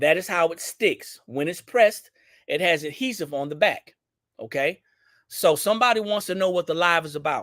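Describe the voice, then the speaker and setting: A high-pitched man in a Southern US accent, bright and sharp in tone, with lively intonation at a moderate pace on a very clean recording with a silent background. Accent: Southern country twang. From Louisiana, Baton Rouge. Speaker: business owner hosting product livestream. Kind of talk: live product demo stream. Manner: casual, repetitive.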